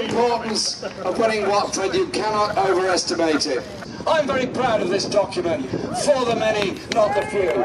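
Over crowd noise in the background, a man speaks at a high pitch with lively intonation. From United Kingdom. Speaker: party leader giving campaign speech. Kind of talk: campaign rally speech. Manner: rousing, addressing a crowd. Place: street.

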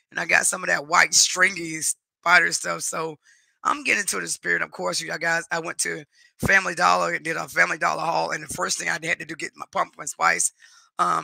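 A man talks at a fairly quick pace with big swings in loudness, in a dry sound with no echo against a quiet background. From North Carolina, US. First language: Spanish. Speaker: YouTube live streamer. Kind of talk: casual chat. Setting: live stream at home. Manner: warm, chatty.

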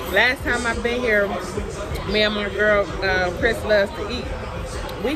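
Speech comes at a fairly slow pace with crowd noise in the background. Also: woman. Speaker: food vlogger. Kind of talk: casual mukbang chat. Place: cafe. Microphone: phone near.

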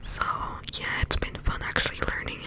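Someone whispers at a moderate pace. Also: woman. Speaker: ASMR creator. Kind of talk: ASMR whisper video. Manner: whispered. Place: home room. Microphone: studio mic.

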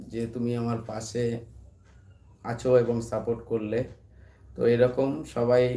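The voice has a dark, mellow tone and a flat, monotone delivery. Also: man, medium pitch for a man. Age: 30s. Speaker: YouTuber and barber. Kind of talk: casual live stream chat. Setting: late-night live stream at home.

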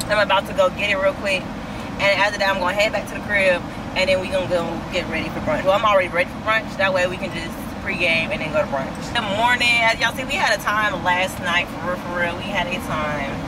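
Very fast speech over loud background noise. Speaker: lifestyle vlogger. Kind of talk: casual vlog chat. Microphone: phone near.

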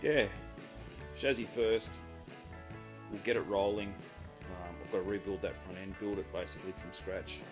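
A man speaks at a fairly low pitch. Music plays clearly in the background. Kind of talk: casual workshop walkthrough. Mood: relaxed, friendly. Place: garage. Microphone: phone near.

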